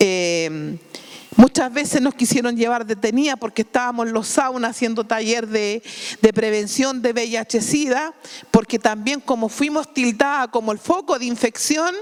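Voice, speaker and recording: The speaker has a Chilean accent and talks at a moderate pace with ordinary pitch variation. Noticeable background noise runs underneath. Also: woman, fairly high pitch for a woman. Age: 60s. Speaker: sex worker union activist. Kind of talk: panel talk. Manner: halting.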